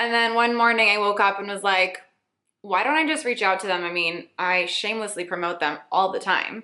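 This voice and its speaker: A woman with a plain, everyday voice speaks at medium pitch and a fairly quick pace, with ordinary pitch variation. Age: 20s. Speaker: beauty and lifestyle blogger. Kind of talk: casual Q&A vlog.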